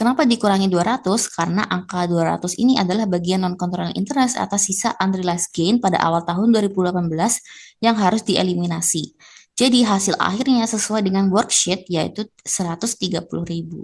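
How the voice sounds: A woman speaks at a fairly quick pace in a slightly mellow tone. Her pitch is medium, with ordinary variation.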